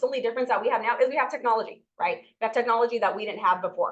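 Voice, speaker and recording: Her pitch fairly high, a woman talks with fairly even intonation. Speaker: real estate trainer. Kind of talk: lecture. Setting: classroom with Zoom participants. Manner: fast.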